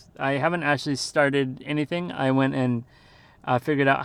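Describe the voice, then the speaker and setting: In a medium-pitched voice, a man speaks with monotone, flat intonation. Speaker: podcast host, English teacher in Japan. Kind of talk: casual monologue. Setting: in a car. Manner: halting, many fillers.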